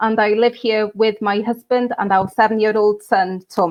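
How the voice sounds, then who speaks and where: A woman with a North Welsh accent, fairly high pitch, fairly even intonation and a moderate pace. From Wales, Anglesey. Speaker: political candidate and local councillor. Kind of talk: online campaign launch interview. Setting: online live video stream.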